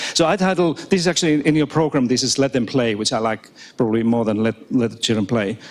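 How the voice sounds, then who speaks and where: Here a man speaks at a very fast pace with a non-native accent and lively intonation. His pitch is medium, and his loudness stays very even. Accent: non-native, audibly foreign. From Finland. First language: Finnish and Swedish. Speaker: professor. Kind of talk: keynote talk. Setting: stage with audience. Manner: repetitive false starts.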